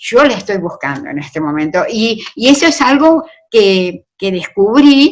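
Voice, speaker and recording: Her pitch is fairly high and moves in very wide swings. This woman talks at a fairly slow pace. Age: 70s. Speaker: writer. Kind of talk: interview conversation.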